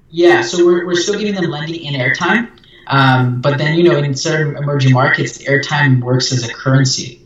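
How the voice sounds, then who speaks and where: A man with a fairly high pitch and ordinary pitch variation, amid noticeable background noise. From Brazil. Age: young. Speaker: startup founder and CEO. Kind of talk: interview.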